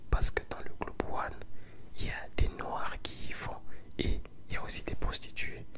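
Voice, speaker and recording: Whispering at a fairly slow pace with long, frequent pauses, a man is heard over noticeable background noise. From Congolese. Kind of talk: ASMR storytelling to camera. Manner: casual, conversational, relaxed.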